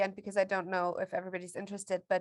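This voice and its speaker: A woman with a German accent against a quiet background. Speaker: course participant. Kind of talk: casual chat. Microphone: video call.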